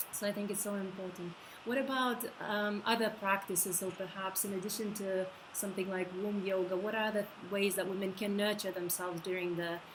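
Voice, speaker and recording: A woman with a Lithuanian accent, medium pitch, monotone flat intonation and a fairly quick pace, amid audible room echo and noticeable background noise. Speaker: interviewer. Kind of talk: interview.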